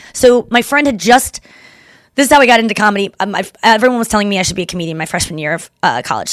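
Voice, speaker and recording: Using a put-on character voice, a woman talks at a very fast pace with lively intonation. Her medium-pitched voice is raspy. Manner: talking fast.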